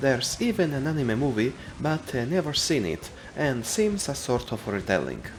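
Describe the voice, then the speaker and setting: A man with a non-native accent speaks at a moderate pace in a medium pitch, his intonation lively, with music playing in the background. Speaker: video game reviewer. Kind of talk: scripted narration.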